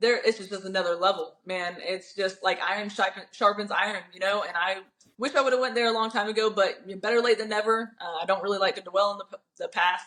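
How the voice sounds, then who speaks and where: In an American accent, a woman at medium pitch talks at a fairly quick pace with fairly even intonation and hardly any pauses. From Florida and Alabama area, Wisconsin family. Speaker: bare-knuckle fighter. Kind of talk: interview.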